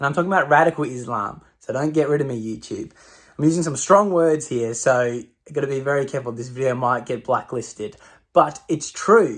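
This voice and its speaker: On a very clean recording with a silent background, a man with an Australian accent talks at a fairly quick pace, his pitch fairly high with ordinary variation. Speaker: political commentator. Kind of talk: opinion rant to camera. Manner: animated.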